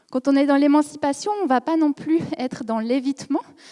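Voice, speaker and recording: A woman with a slight Swiss French accent speaks at a moderate pace in a dark, mellow tone, the sound dry and close with no echo. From Switzerland. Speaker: psychology researcher. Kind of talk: conference lecture.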